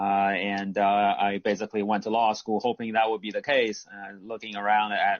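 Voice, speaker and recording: A man speaks at a fairly quick pace in a fairly low pitch. His intonation is flat and monotone. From US West Coast, California. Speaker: sports media executive. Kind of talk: online panel discussion. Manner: hesitant, many fillers.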